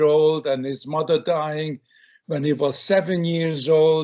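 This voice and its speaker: Against a quiet background, a man with a fairly high-pitched voice speaks very slowly with ordinary pitch variation. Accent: Hungarian. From Hungary. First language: Hungarian. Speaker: film director. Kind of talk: interview.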